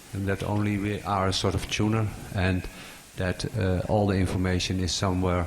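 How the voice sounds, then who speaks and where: A man with a very deep, low voice and a non-native accent speaks at a moderate pace in a flat monotone, his loudness very even, with audible room echo. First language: not English. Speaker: audience member asking a question. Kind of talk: conference Q&A. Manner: halting.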